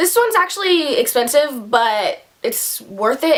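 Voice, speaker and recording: Noticeable background noise accompanies a woman whose pitch swings very widely. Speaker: beauty vlogger. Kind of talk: product review tutorial. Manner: fast; casual, filler-heavy.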